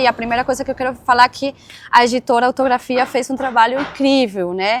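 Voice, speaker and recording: A woman with a Caribbean Spanish accent speaks at a high pitch. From Venezuela. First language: Spanish (speaking Portuguese). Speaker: history professor and author. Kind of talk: academic interview. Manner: repetitive fillers and restarts.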